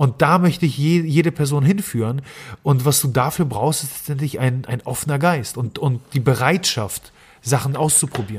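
A man talks at a fairly high pitch, somewhat breathy. His pace is moderate, with ordinary pitch variation. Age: 30s. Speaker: nutrition scientist and podcast host. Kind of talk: interview conversation. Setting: sitting at a table in person. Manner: frequent filler hesitations.

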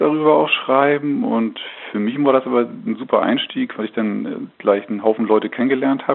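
A man speaks fairly quickly against noticeable background noise. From northern Germany, North Frisia near the Danish border. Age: 40s. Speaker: agricultural magazine editor. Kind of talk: interview. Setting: phone call. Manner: hesitant with many fillers.

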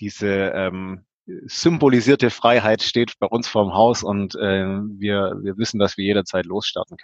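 This man has a plain, everyday voice and fairly low pitch. He talks at a fairly slow pace with ordinary pitch variation. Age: 30s. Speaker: engineer and hobby van builder. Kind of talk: interview.

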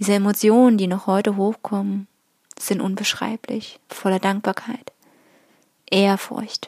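A woman speaks at a fairly slow pace in a medium pitch, flat and monotone, with long, frequent pauses. The sound is dry and close, with no echo. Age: 30s. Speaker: spiritual podcaster. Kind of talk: personal monologue.

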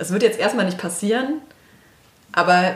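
Noticeable background noise accompanies a woman whose voice sits at a medium pitch. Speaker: instagram influencer and blogger. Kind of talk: interview.

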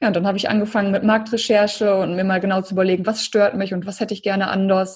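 Very fast, somewhat breathy delivery with fairly even intonation. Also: woman. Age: 30s. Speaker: entrepreneur and life coach. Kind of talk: interview.

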